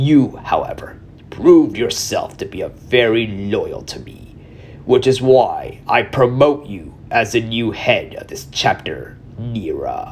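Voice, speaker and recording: A man puts on a character voice with a menacing tone at a fairly slow pace. Background noise is clearly audible. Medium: read story. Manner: authoritative, menacing.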